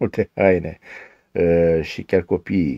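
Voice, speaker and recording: A man's very deep, low voice over a quiet background. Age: 50s. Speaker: diet program participant. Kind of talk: testimony. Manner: formal. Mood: calm, pleased. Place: home room. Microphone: phone near.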